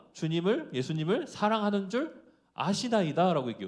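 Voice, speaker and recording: A man talks fairly quickly with a high pitch and lively intonation. The recording is very clean, with a silent background. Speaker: preacher. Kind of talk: sermon. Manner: fast.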